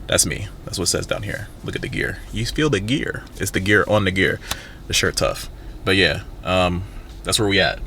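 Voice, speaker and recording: A man talks while room echo is audible and background noise is noticeable. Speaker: vlogger and campus event planner. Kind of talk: casual vlog. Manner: fast; animated.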